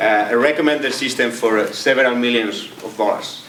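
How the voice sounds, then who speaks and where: Amid noticeable background noise and audible room echo, a man speaks at a moderate pace and medium pitch with fairly even intonation. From Spain (Catalonia). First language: Spanish or Catalan. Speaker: AI researcher and entrepreneur. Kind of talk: lecture. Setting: stage with audience. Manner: halting, many repetitions.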